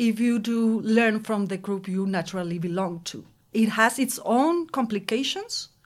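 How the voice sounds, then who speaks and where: The recording is very clean with a silent background. A woman with a Spanish accent speaks at a fairly slow pace and fairly high pitch. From Mexico. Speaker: anthropology PhD student. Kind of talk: panel discussion.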